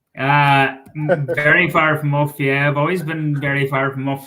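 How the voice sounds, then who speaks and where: With a Donegal accent, a man speaks at a moderate pace in a fairly high pitch, with a bright, sharp tone and monotone, flat intonation. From Ireland, Donegal (Killybegs area). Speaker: sports journalist and author. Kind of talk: casual chat.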